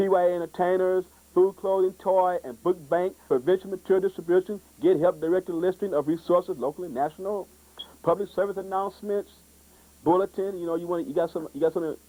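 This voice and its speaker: Recorded dry and close with no echo, a man with a high voice and a dark, mellow tone talks at a very fast pace. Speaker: youth TV show host. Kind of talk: public access TV promo talk. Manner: animated.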